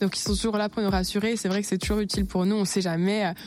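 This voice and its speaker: Her intonation monotone and flat, a woman speaks. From Franche-Comté, France (Besançon). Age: young. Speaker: beauty pageant contestant and student. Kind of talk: radio interview.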